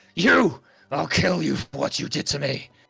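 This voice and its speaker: A man puts on a growling character voice in a furious tone. He talks at a moderate pace. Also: medium pitch for a man. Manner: snarling, furious.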